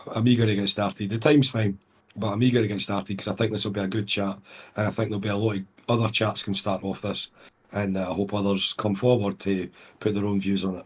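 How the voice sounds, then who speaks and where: Talking at a very fast pace, a man with a Scottish accent keeps a monotone, flat intonation at a fairly low pitch. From Scotland, near Glasgow. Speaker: podcast guest. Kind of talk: casual chat.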